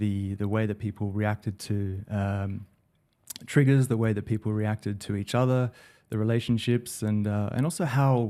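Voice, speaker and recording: With an Australian accent, a speaker uses a dark, mellow tone, ordinary pitch variation and a moderate pace on a very clean recording with a silent background. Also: man. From Australia, Sydney. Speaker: digital director. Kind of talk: podcast interview. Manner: hesitant, many fillers.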